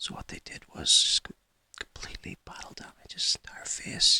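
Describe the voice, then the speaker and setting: Someone whispers at a moderate pace. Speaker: toy collector YouTuber. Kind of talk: whispered ASMR show-and-tell. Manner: whispering; halting with fillers.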